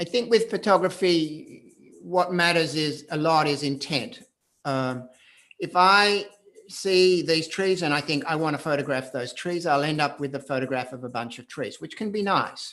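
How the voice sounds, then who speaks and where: Speaking at a moderate pace with an Australian accent, a man has a fairly high, bright, sharp voice and ordinary pitch variation. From Australia, Perth. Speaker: photographer. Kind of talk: live video conversation. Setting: video call.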